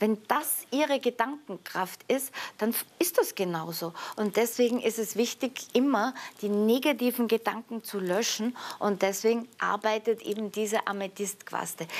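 A woman's voice sits at a fairly high pitch. She keeps to a moderate pace. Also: ordinary pitch variation. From Austria, Vienna. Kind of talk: sales pitch. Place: studio. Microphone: lapel.

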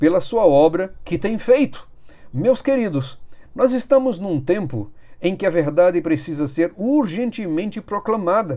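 Over a quiet background, a man speaks at a fairly slow pace. His high voice has a dark, mellow tone and very wide pitch swings. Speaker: Adventist preacher. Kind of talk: sermon-style news commentary. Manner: fervent, exhortative; solemn, urgent. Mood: earnest, urgent. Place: home room. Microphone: phone near.

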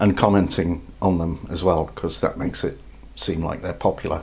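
A man talks at a moderate pace. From England. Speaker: YouTube vlogger. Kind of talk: casual talk to camera. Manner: humorous, chatty. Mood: humorous, wry.

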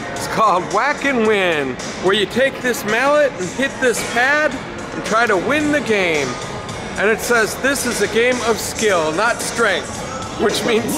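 Over clear music in the background, the voice moves at a fairly slow pace. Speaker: travel vlogger. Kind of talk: casual vlog chat. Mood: cheerful, amused, laughing often. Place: hall. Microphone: phone near.

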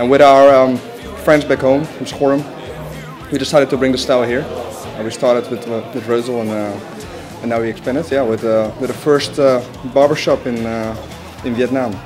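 Clear music in the background behind a man talking fairly quickly with fairly even intonation. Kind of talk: interview answer. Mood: relaxed, friendly. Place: shop.

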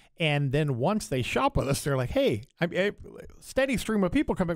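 This man sounds animated, his pitch swinging very widely. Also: very clean recording, silent background. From Louisiana. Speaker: fireworks business owner. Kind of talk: casual chat. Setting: studio. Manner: animated, jokey.

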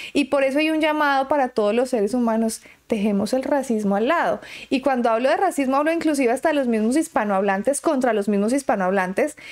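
Very fast and at a high pitch, a woman speaks with lively intonation and very even loudness over a quiet background. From Colombia. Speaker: YouTuber. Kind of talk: vlog commentary. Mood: earnest, opinionated. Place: home room.

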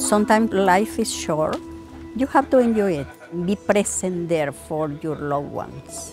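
A woman with a Salvadoran accent at a moderate pace, music in the background. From El Salvador. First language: Spanish. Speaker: daycare cook, former social worker. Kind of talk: interview answer.

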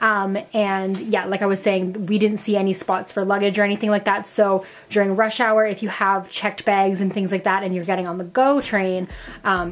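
A woman speaks at a moderate pace in a monotone with flat intonation. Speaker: travel vlogger. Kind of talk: casual vlog chat. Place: home room. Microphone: phone near.

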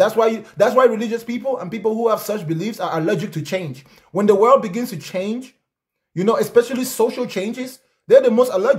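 Against a quiet background, a man with a high-pitched voice talks at a fairly quick pace in an animated tone with ordinary pitch variation. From Africa. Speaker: live-stream debate host; livestream host. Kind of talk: heated debate. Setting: video call. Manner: confrontational. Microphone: studio mic.

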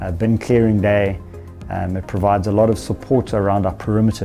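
A fairly quick pace over faint background music. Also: man. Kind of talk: interview answer. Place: office. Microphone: lapel.

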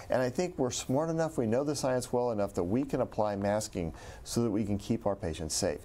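A man's dark, mellow voice with lively intonation at a fairly quick pace. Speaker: chief medical officer. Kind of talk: panel discussion. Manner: calm, thoughtful. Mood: calm, reflective. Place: studio. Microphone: lapel.

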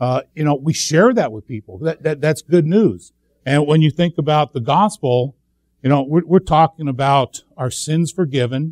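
Against a quiet background, a man speaks at a moderate pace with ordinary pitch variation, the sound dry with no echo. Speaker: speaker. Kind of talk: sermon. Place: church.

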